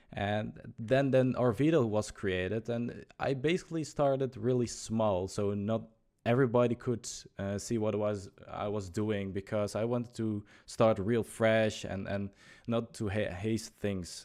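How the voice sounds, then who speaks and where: This man speaks fairly slowly with a Dutch accent. His voice is fairly low, dark and mellow in tone, with ordinary pitch variation. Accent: Dutch accent, noticeable. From Netherlands. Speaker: youtuber and livestreamer. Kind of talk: casual podcast chat. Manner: halting, many fillers.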